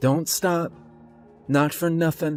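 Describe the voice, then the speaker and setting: A man's put-on character voice, fairly high in pitch with monotone, flat intonation, over faint music in the background. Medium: read story. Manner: grave, commanding.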